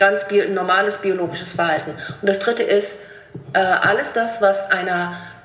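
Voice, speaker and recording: Noticeable background noise and audible room echo around a woman talking. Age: 50s. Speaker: coach and author. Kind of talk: interview. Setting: video call.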